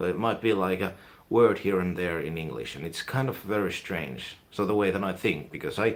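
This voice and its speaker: In a Finnish accent, a man speaks at a moderate pace with a very deep, low pitch and ordinary pitch variation. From Finland. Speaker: YouTuber, music and film reviewer. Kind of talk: live stream casual chat. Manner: rambling, hesitant with fillers.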